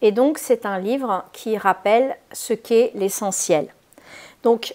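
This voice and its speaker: At a very slow pace, a woman speaks at a fairly high pitch with ordinary pitch variation. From Spain. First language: Spanish (speaking French). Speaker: holistic therapist. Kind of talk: casual video introduction; reading aloud. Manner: hesitant, many fillers.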